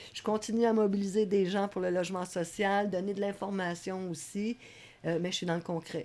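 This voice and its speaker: At a moderate pace, a woman with a dark, mellow tone speaks at medium pitch in a monotone, flat intonation. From Quebec, Laval. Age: 60s. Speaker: community worker. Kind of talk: interview.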